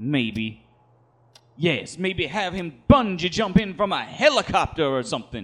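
In an unremarkable speaking voice, a man talks at a fairly slow pace. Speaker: wrestling writer/booker character. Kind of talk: scripted comedic audio drama. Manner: theatrical, pompous, mock-pious.

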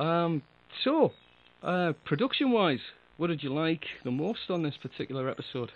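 A man with a fairly high pitch speaks at a moderate pace, his intonation lively and his speech marked by long, frequent pauses. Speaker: audio drama producer and podcast co-host. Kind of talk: casual chat. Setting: online chat call. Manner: laughs often, chatty.

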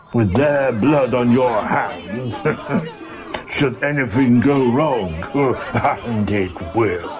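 A man's put-on character voice at medium pitch, very slow in pace and very even in loudness, over clear background noise. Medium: audio drama. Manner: dry, measured.

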